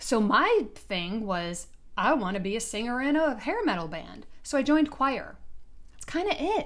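Amid audible room echo, a woman with a high-pitched voice speaks at a moderate pace with very wide pitch swings. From US Midwest, Detroit. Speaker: podcast host and business coach. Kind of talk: solo podcast monologue.

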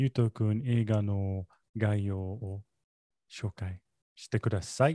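Very slowly and with long, frequent pauses, a man speaks in a dark, mellow tone at a fairly low pitch, with fairly even intonation and a dry, close sound with no echo. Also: very clean recording, silent background. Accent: English. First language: English (speaking Japanese). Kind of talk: casual chat. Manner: halting, hesitant.

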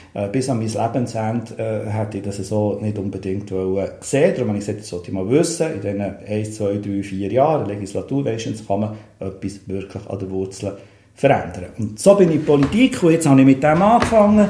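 Amid audible room echo, a man speaks at a fairly quick pace in a fairly low, somewhat breathy voice with a dark, mellow tone, ordinary pitch variation and big swings in loudness. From Switzerland, Bern. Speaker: city councillor and cultural manager. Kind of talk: casual interview chat. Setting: in a chalet.

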